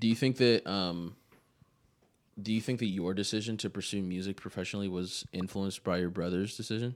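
An unremarkable speaking voice from a man, fairly low in pitch, fairly quick in pace, with fairly even intonation. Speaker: podcast host. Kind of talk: casual chat.

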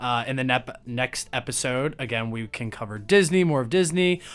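With lively intonation and a medium pitch, a man talks at a moderate pace in an ordinary speaking voice. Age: 20s. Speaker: podcast host. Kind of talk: casual chat.

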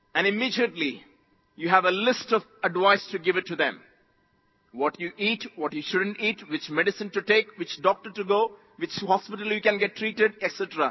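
An animated man with an Indian accent talks at a moderate pace and high pitch, with ordinary pitch variation. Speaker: visiting preacher. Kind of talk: sermon. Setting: church conference with live audience. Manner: animated, call-and-response, exhorting the crowd; jovial, laughs often.

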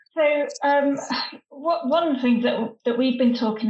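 A woman with a northern English accent, high-pitched, with ordinary pitch variation. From northern England. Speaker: former stand-up comedian, humour consultant. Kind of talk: casual chat.

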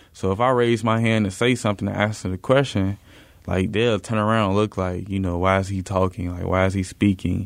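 Very clean recording, silent background, and a man's fairly low voice at a fairly quick pace with fairly even intonation. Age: young. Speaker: student podcast co-host. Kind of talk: casual interview.

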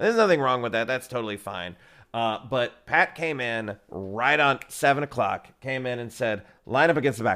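A man with a Texan accent speaks at a medium pitch with ordinary variation, in a very clean recording with a silent background. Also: moderate pace. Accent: Texan American. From Texas. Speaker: improv teacher. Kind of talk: casual interview.

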